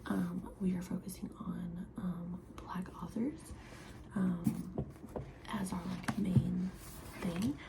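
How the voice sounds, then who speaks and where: A quiet voice amid noticeable background noise and audible room echo. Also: woman. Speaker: book vlogger. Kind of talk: casual chat. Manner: halting.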